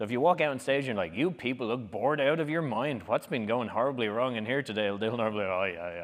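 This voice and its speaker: A man with an Irish accent, medium pitch, an animated tone, lively intonation and a very fast pace. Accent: Irish, noticeable. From Ireland. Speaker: public speaking workshop leader. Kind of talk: workshop talk. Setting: conference room with live audience.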